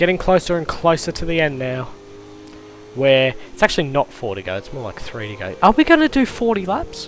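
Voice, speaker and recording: Over background music, a man talks at a fairly quick pace in a fairly high voice, with very wide pitch swings and big swings in loudness. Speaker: sim racing commentator. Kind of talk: live commentary. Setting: live stream.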